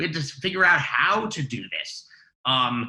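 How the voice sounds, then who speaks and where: A man talks in an American accent at a fairly high pitch. His tone is bright and sharp, with lively intonation. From New Jersey, Ridgewood. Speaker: music therapist and singer-songwriter. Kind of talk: podcast interview. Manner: halting, many fillers.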